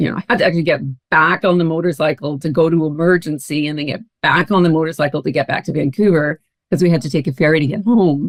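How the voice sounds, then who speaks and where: Dry and close with no echo, a woman with a Canadian accent talks at a very fast pace in a very deep, low pitch with ordinary pitch variation. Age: 60s. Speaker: founder and guest on a wellness podcast. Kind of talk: personal testimony in an interview.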